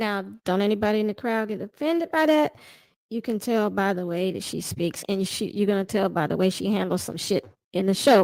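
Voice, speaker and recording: In a very clean recording with a silent background, a woman has an unremarkable speaking voice at a medium pitch. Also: dry, close sound with no echo. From US South. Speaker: commentary streamer reacting to a dating show. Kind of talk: live reaction commentary. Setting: YouTube livestream.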